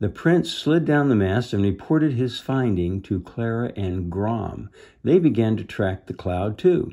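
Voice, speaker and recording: A man with a fairly low pitch at a very slow pace against a quiet background. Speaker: reader of a children's book. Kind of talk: read-aloud storytelling. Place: home room. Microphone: phone near.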